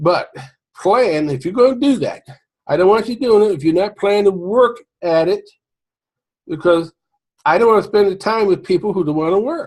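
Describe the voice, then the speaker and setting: Lively in intonation, a man speaks at a moderate pace and a high pitch, broken by long, frequent pauses. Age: 60s. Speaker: home business marketer. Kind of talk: casual sales pitch to camera. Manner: informal, halting with fillers.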